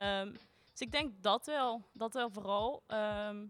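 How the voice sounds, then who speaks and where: The woman's voice shows ordinary pitch variation. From Limburg. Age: 20s. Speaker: student. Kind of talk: casual chat. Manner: halting.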